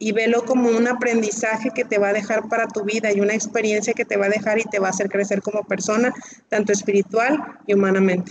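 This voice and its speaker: A woman talks at a very fast pace with a fairly high pitch. Her intonation is monotone and flat, and her loudness very even. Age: 40s. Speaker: breast cancer patient. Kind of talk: testimony.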